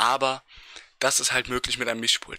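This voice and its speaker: A man with a bright, sharp tone, dry sound with no echo and a quiet background. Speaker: gaming streamer; streamer. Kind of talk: tutorial. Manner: casual, with many filler sounds. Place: home room. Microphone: speaks very close to the mic, with pop filter; studio mic.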